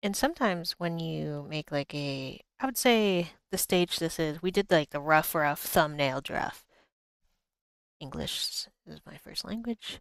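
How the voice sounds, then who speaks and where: With an American accent, a woman in an ordinary speaking voice talks at a fairly low pitch and fairly slow pace, her intonation lively and loudness swinging widely, in a very clean, silent-background recording with a dry, close sound and no echo. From Boston. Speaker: artist streamer. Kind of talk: live art stream tutorial. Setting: livestream. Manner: casual, rambling.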